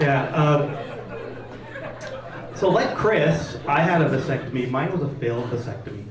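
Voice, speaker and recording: A man's fairly high-pitched voice at a moderate pace, with audible room echo and noticeable background noise. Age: 50s. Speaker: comedian. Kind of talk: stand-up. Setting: stage with audience.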